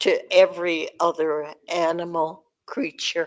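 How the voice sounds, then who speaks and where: Fairly low in pitch, a woman speaks at a very slow pace with a Cheyenne accent. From Cheyenne community, US Great Plains. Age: 90s. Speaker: elder speaker. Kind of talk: public talk.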